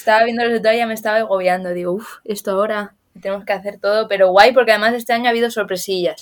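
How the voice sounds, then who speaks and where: A woman with a fairly high pitch speaks very fast in a monotone, flat intonation. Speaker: fencing coach. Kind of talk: casual chat.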